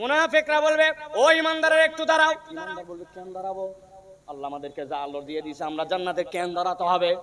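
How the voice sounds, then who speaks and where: A man with a high-pitched voice speaks with very wide pitch swings and big swings in loudness, against noticeable background noise. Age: 30s. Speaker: Islamic preacher. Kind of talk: sermon. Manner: animated.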